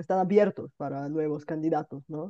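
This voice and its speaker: Ordinary pitch variation marks this woman's speech, which has a dark, mellow tone. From Bulgaria. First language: Bulgarian and Russian (speaking Spanish). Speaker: online language teacher, polyglot YouTuber. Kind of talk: casual multilingual conversation.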